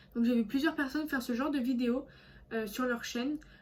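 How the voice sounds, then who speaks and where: This woman's pitch is high, her pace fairly quick. Her intonation stays fairly even. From France, Alsace. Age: 20s. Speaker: vlogger. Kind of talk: casual vlog monologue. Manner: hesitant, many fillers.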